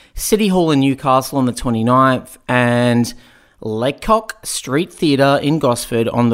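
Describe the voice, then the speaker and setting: Lively intonation and a fairly slow pace mark this voice with an Australian accent. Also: man. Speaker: stand-up comedian and co-host. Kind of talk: intro announcement.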